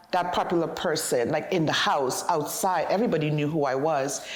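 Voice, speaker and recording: A woman speaks at a moderate pace. The room echo is audible, and there is noticeable background noise. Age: 50s. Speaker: interviewee on aging. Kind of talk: interview.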